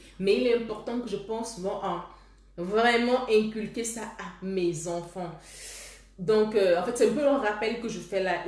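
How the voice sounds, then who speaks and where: Amid audible room echo and noticeable background noise, a woman speaks at a fairly slow pace with ordinary pitch variation. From Cameroon. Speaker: love coach. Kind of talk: live stream talk with viewers. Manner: halting, with repetitions.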